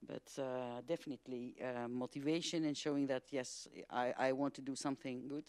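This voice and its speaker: In a dry, close sound with no echo, a woman with a dark, mellow tone talks at a moderate pace with monotone, flat intonation. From Greece. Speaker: hydrogen industry expert. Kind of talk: panel discussion. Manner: halting.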